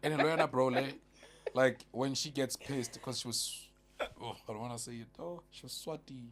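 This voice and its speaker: A man speaks at a moderate pace in a medium pitch, his loudness swinging widely, with noticeable background noise behind him. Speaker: podcast panelist. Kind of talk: casual chat. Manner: animated.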